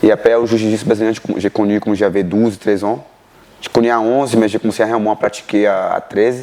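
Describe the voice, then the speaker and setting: A man speaks at a fairly low pitch, with noticeable background noise behind him. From Brazil, Bahia (northeast). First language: Portuguese (speaking French). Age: 30s. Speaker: martial arts coach. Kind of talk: interview.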